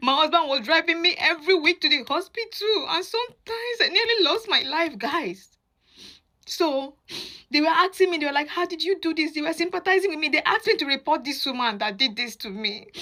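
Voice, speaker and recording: A raised, projected voice moves at a fairly quick pace with very wide pitch swings. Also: woman, extremely high pitch for a woman. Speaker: mother sharing experience. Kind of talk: testimony.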